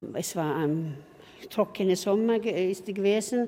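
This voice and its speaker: A woman's voice of medium pitch, dark and mellow in tone, at a very slow pace with ordinary pitch variation. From southwestern Finland, Swedish-speaking. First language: Swedish (speaking German). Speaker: tour guide. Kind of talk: guided tour.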